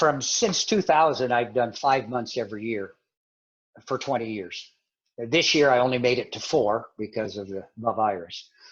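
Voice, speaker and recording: With a plain, everyday voice, the man talks at a moderate speed, his medium pitch varying in an ordinary way. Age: 60s. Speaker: missionary. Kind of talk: interview.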